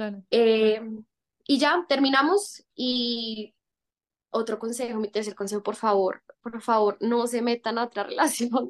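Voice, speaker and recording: At a fairly slow pace, a woman with a fairly high pitch talks with fairly even intonation. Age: 20s. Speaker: actress. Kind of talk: casual chat.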